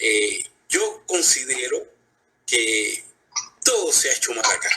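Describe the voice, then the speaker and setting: A man speaks at a very slow pace, keeping his loudness very even throughout. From Cuba. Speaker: blogger and social media activist. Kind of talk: live interview. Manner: calm, conversational, even tone; hesitant, many fillers.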